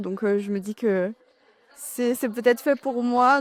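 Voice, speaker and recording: The woman's delivery is fairly slow. She keeps her intonation fairly even. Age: 20s. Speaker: young civic service volunteer. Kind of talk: interview answers. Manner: hesitant, many fillers.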